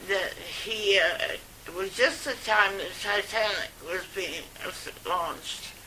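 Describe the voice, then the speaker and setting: A woman at a medium pitch talks at a very slow pace with long, frequent pauses, fairly even intonation and big swings in loudness, over noticeable background noise. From Scotland. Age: 80s+. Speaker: retired nurse. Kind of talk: interview answer.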